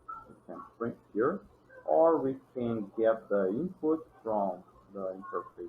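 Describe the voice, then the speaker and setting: This man talks at a very slow pace. He has a non-native accent. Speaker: programming tutorial creator. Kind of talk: tutorial. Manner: halting, with restarts.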